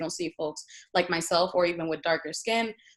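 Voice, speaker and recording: Against a quiet background, a woman with a Spanish accent talks at a medium pitch with ordinary pitch variation. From Puerto Rico, moved to Boston at 12. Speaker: university administrator. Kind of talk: panel presentation with slides.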